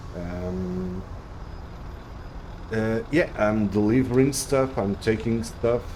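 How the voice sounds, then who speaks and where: A man with a Portuguese accent speaks at a very slow pace. The recording has audible room echo and noticeable background noise. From Portugal. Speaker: video game streamer. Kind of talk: live gameplay stream commentary. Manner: halting, many fillers and restarts.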